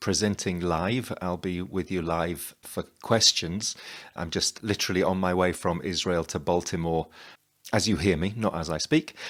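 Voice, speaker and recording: On a very clean recording with a silent background, a man with a British accent speaks at a moderate pace in a very deep, low voice. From England. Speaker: playwright and performer. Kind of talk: promotional presentation.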